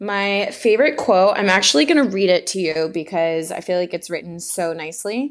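In an ordinary speaking voice, a woman at medium pitch talks at a fairly quick pace with lively intonation and hardly any pauses. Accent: American. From Texas, Houston. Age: 20s. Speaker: fitness YouTuber and bikini competitor. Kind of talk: casual chat.

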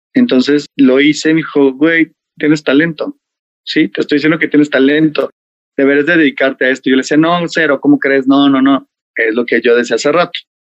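A man's fairly high voice, fairly quick in pace and fairly even in intonation. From Mexico City. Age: 30s. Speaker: hairstylist. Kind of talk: interview.

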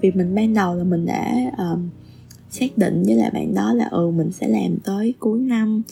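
Medium-pitched woman at a moderate pace, very wide pitch swings, very even loudness, noticeable background noise. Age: 30s. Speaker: podcast admin. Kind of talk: solo podcast monologue. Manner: halting.

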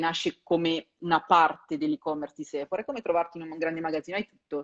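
The speech rushes along at a very fast pace, its intonation lively. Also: woman. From Perugia, Umbria, Italy. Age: 30s. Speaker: career coach and content creator. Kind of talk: live-stream interview.

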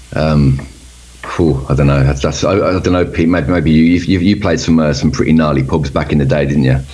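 A man talks at a fairly quick pace in a very deep, low pitch, with fairly even intonation and very even loudness. Audible room echo and noticeable background noise surround him. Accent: Birmingham. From Birmingham, England. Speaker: metal band member. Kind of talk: casual interview.

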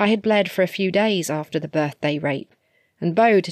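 Against a quiet background, the pitch varies normally in this plain reading aloud.

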